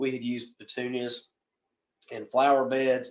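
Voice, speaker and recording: A man with a slight Southern US accent, fairly high pitched for a man, at a moderate pace. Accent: Southern US, slight by his own account. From western North Carolina, US South. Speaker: landscape professional presenter. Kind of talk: presentation. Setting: recorded virtual presentation. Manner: casual, rambling.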